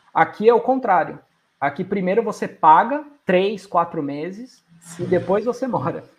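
Here a man speaks with a high pitch and lively intonation. His pace is fairly slow. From Brazil. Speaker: IT manager. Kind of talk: interview conversation.

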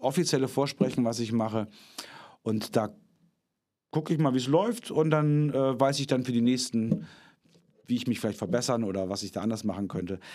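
In a very clean recording with a silent background, a man of medium pitch speaks at a fairly quick pace with lively intonation and long, frequent pauses. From northern Germany. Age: 40s. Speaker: actor and puppeteer. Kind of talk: casual interview.

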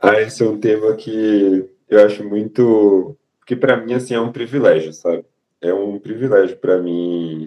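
This man has an unremarkable speaking voice, fairly low in pitch with ordinary variation. He talks at a fairly slow pace. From Salvador, Bahia, Brazil. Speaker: resident doctor. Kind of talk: casual chat.

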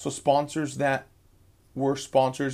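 A man's fairly high-pitched, energetic voice. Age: 30s. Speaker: podcast host. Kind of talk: solo podcast monologue on sales. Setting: radio booth. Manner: energetic, casual.

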